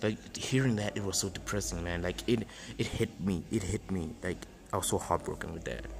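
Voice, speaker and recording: A man's very deep, low voice shows vocal fry and very wide pitch swings. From South Africa. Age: 20s. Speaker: podcaster. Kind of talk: solo self-help monologue. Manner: halting, many fillers and repetitions.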